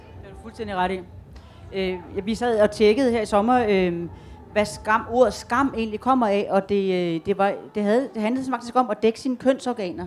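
In an unremarkable speaking voice, a woman talks at a moderate pace with a fairly high pitch, ordinary pitch variation and big swings in loudness. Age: 50s. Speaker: graphic novelist. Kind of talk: panel discussion. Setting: tent stage with audience.

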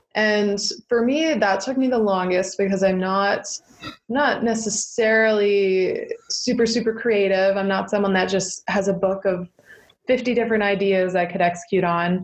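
A woman speaks with a Canadian accent at a moderate pace, in an ordinary speaking voice of medium pitch. Her intonation is fairly even and her loudness very even. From eastern Ontario, Canada. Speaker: entrepreneur. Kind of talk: interview.

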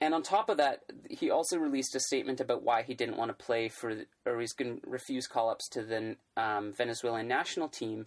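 A man with an unremarkable speaking voice talks at a fairly quick pace, his medium pitch showing ordinary variation. His loudness swings a lot on a very clean recording with a silent background. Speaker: podcast host. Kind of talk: casual chat.

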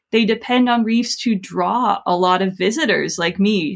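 This woman has a plain, everyday voice and an American accent. She talks at a moderate pace with ordinary pitch variation. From US South, South Florida. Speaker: professor and author. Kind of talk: interview. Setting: webinar video call.

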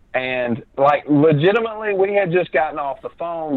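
Lively intonation marks this Southern US accent, delivered at a moderate pace. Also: man. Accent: Southern American. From Alabama. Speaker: podcast guest, film writer and director.

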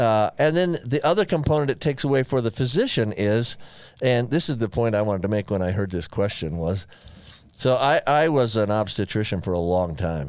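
A man talks at a fairly quick pace and medium pitch. His pitch swings very widely. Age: 60s. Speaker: physician and podcast co-host. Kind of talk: medical explanation; casual chat. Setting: studio.

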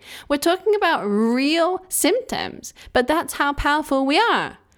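With an English accent, a woman speaks at a moderate pace in a high pitch with very wide pitch swings, on a very clean recording with a silent background. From England. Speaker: podcast host, self-healing coach. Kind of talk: solo monologue podcast.

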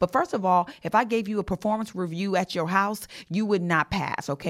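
Speaking at a fairly quick pace, a woman sounds animated on a very clean recording with a silent background. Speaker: podcast host and leadership coach. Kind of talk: solo podcast monologue on leadership. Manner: fast.

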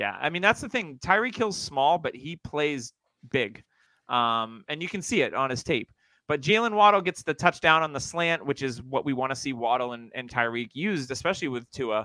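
Over a very clean, silent background, a man speaks at a moderate pace in a fairly high, bright, sharp voice, with a dry, close sound and no echo. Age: 40s. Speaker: fantasy football podcast host. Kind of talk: casual chat.

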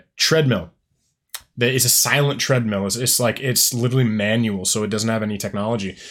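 Here a man has a plain, everyday voice at medium pitch, using ordinary pitch variation. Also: very clean recording, silent background. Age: 20s. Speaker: podcast host. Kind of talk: casual interview.

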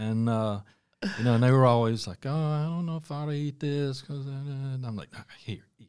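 A man's medium-pitched voice with a North Carolina accent, ordinary pitch variation and a moderate pace. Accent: US Southern (North Carolina). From Charlotte, North Carolina. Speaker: restaurant owner and chef. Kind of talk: casual interview.

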